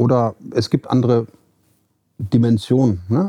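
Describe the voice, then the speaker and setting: A man at medium pitch, dark and mellow in tone, with a dry, close sound and no echo. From Hesse, Germany (Marburg). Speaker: facility management consultant and founder. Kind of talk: interview. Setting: studio. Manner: halting, many fillers.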